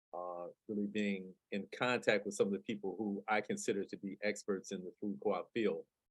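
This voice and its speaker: In a normal speaking voice with an American accent, someone talks at a moderate pace with fairly even intonation and hardly any pauses, the sound dry and close with no echo. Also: man, fairly low pitch for a man. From US Midwest, Detroit. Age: 60s. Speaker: community food activist and nonprofit director. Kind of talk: webinar presentation. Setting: video call.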